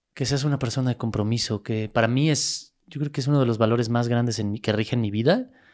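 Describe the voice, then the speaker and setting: A man speaks with a Mexico City accent at a fairly quick pace, with hardly any pauses. His intonation is fairly even, on a very clean recording with a silent background. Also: medium pitch for a man. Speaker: world champion athlete and motivational speaker. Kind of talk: interview.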